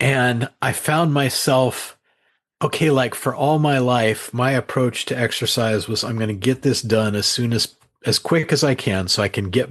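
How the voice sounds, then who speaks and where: The speaker is a man with a plain, everyday voice at a medium pitch. He keeps a moderate pace with ordinary pitch variation. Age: 60s. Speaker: author. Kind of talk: interview.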